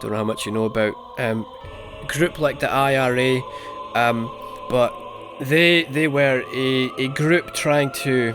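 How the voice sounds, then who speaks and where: With music in the background, a man of medium pitch talks at a fairly slow pace, with fairly even intonation and long, frequent pauses. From UK. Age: 30s. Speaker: gaming YouTuber. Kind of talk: let's play commentary. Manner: halting, many fillers.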